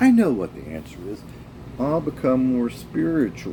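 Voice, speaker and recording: Over noticeable background noise, a man speaks with a fairly low pitch. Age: 60s. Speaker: vlogger talking about his divorce. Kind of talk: personal monologue. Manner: casual, with many fillers.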